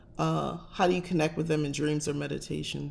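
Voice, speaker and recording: A woman talks fairly quickly in an American accent, with noticeable background noise behind her. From New Jersey, US Northeast. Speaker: witchcraft and tarot channel host. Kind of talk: casual livestream chat. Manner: direct, blunt.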